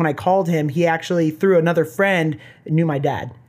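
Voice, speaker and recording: On a very clean recording with a silent background, a man with an American accent speaks at a fairly high pitch, a moderate pace and fairly even intonation. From Southern California. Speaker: company founder. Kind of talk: casual chat.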